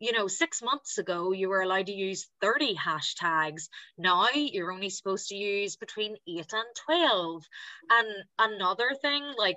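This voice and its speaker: A woman talks at a moderate pace in a mid-range voice with lively intonation, the sound dry and echo-free against a quiet background. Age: 20s. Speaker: patient advocate and blogger. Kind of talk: personal testimony on a panel. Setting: video call. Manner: prepared reading. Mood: warm, enthusiastic. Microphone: video call.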